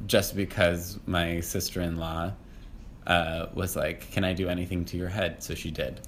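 Amid audible room echo, a man with a very deep, low voice speaks at a moderate pace in a monotone, flat way. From Massachusetts. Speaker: podcast guest, playwright. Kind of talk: casual interview.

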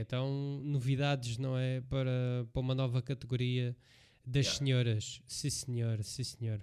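Medium-pitched male voice in a European Portuguese accent with ordinary pitch variation, in a very clean recording with a silent background. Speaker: MMA podcast co-host and referee. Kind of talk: casual chat.

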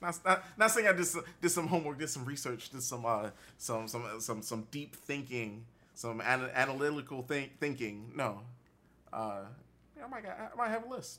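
A man's fairly high pitch, bright, sharp tone and very wide pitch swings, delivered at a moderate pace. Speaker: podcast host. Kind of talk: casual chat.

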